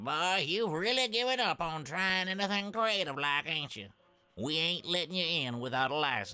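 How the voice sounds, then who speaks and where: Using a put-on character voice, a man drawls at a moderate pace in a high pitch over faint background music. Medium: video game. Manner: folksy, drawling.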